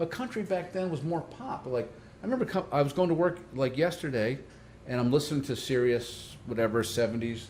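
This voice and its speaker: This man has a fairly high pitch and lively intonation, speaking at a fairly quick pace. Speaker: podcast host. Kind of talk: casual chat. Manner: fast.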